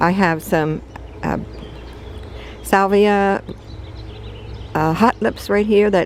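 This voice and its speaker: Noticeable background noise fills the space around the speaker. The woman takes a fairly slow pace. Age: 70s. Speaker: home gardener. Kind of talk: casual garden tour narration. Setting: outdoors in garden. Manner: halting, many fillers.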